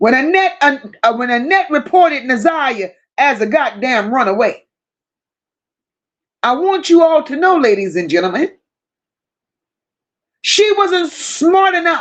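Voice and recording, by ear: A woman's high-pitched voice, lively in intonation, at a fairly slow pace with long, frequent pauses.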